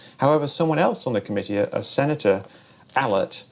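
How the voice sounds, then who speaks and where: A man is speaking. His pace is very fast. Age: 40s. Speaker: debunker, retired video game developer. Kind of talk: documentary interview. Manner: halting, many fillers.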